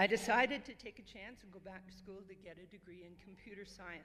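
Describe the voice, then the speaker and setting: With a Canadian accent, a woman of medium pitch talks at a fairly quick pace in an ordinary speaking voice. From Northern Ontario. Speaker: retired club member. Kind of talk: reading aloud.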